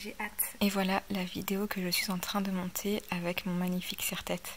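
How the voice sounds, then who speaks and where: A woman speaks at a moderate pace and medium pitch in a somewhat breathy voice. Her intonation is monotone and flat. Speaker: lifestyle vlogger. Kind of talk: vlog. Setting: outdoors.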